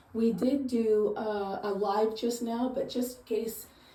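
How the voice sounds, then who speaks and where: A woman's somewhat breathy voice, fairly high in pitch with a dark, mellow tone, carries audible room echo. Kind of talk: casual home tour. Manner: hesitant, filler words.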